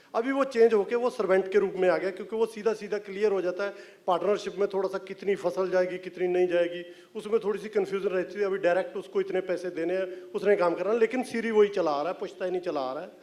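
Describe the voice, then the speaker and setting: A man speaks at a high pitch with fairly even intonation and hardly any pauses. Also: moderate pace. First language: Punjabi (speaking Hindi). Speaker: film writer and director. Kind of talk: press event talk. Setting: stage with audience.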